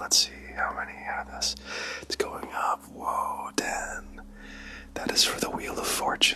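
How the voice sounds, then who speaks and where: Someone whispers in a calm tone at a fairly slow pace. Noticeable background noise can be heard. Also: man. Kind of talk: ASMR livestream storytelling. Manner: soft-spoken, calm, guiding.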